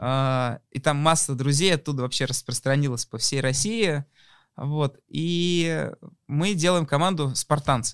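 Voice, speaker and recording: Talking at a very slow pace, a man uses ordinary pitch variation. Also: fairly high pitch for a man, very clean recording, silent background. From Moscow, Russia. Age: 30s. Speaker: businessman and media league owner. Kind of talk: casual interview.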